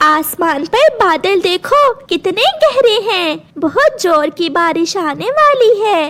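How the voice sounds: A woman performs a cartoonish character voice at an extremely high pitch. She speaks very slowly with very wide pitch swings.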